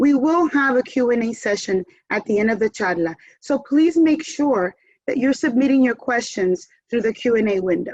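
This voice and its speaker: With a Spanish accent, a woman speaks at a moderate pace, her high voice carrying lively intonation. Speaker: event moderator. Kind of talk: speech to online audience. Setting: video call.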